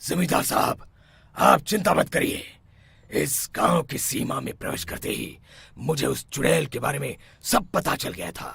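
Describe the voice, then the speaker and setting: A man does a raspy, cartoonish character voice at a fairly high pitch and a moderate pace. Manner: authoritative, grave.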